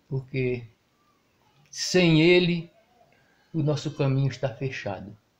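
This man talks at a fairly slow pace and sounds somewhat breathy. His pitch varies in an ordinary way. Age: 70s. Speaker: retired truck driver. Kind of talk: interview. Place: home room. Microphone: handheld.

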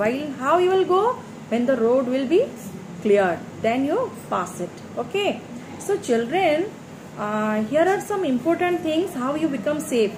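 Speech with long, frequent pauses plays against clearly audible background noise. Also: woman, high pitch for a woman, fairly slow pace. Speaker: primary school teacher. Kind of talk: lecture. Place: home room. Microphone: phone near.

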